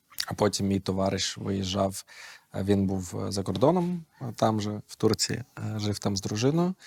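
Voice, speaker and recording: A plain, everyday voice: a man speaking at a fairly slow pace, fairly low in pitch, with ordinary pitch variation and big swings in loudness. The sound is dry and close, with no echo. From Ukraine, raised in Kyiv. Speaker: esports coach. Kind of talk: casual chat.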